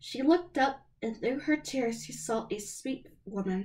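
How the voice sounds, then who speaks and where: On a very clean recording with a silent background, a woman with a high pitch and a dark, mellow tone speaks at a fairly slow pace with lively intonation. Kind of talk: storybook read-aloud. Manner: some stumbling and fumbling.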